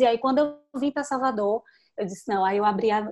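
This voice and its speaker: Against a quiet background, a woman talks at a very fast pace in a fairly high voice. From Petrolina, Pernambuco, Brazil (São Francisco Valley); Pernambuco, Brazil. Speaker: digital marketing specialist; interviewee. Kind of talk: interview; interview answer. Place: home room. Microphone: video call.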